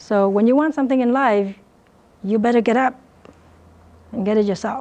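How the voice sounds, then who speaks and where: With a Vietnamese accent, a woman at a fairly high pitch talks at a moderate pace with ordinary pitch variation and long, frequent pauses. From Vietnam, then Riverside, California. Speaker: dentist and business coach. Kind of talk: motivational talk. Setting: lecture room with student audience.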